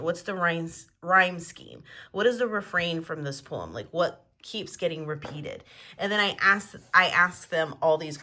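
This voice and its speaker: A woman uses a raspy, put-on character voice. Her pitch is fairly low and her pace moderate. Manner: slightly slurred, repeating words.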